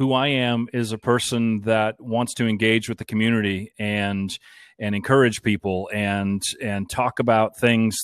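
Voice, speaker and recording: A man with a plain, everyday voice and a fairly low pitch talks at a moderate pace in a dry, close sound with no echo. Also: very clean recording, silent background. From US Northeast, Boston area. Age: 50s. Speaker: radio broadcaster and station owner, Air Force veteran. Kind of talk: interview conversation.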